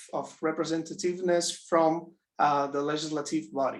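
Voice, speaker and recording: Here a man speaks with a non-native accent. His voice is high-pitched, and his intonation is flat and monotone. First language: not English. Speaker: audience member asking question. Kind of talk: academic Q&A. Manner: halting, many fillers.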